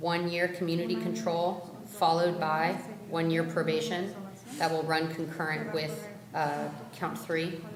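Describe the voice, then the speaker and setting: A woman's fairly low voice at a fairly slow pace, with fairly even intonation, very even loudness, audible room echo and noticeable background noise. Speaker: defense attorney. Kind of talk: courtroom plea presentation. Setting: courtroom.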